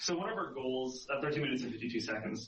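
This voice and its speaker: Noticeable background noise accompanies a man speaking at medium pitch with ordinary pitch variation. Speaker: game designer on a balance team. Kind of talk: podcast interview explaining data. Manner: fast.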